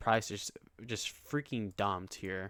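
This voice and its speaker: A man speaks on a very clean recording with a silent background. The sound is dry and close, with no echo. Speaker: day trader and vlogger. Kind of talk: casual vlog trade recap. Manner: halting, many fillers.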